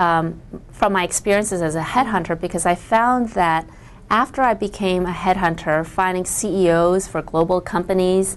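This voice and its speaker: With an American accent, a woman talks in a normal speaking voice at medium pitch and a moderate pace, her pitch varying in an ordinary way. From US, Chinese immigrant family. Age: 40s. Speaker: author. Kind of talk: interview.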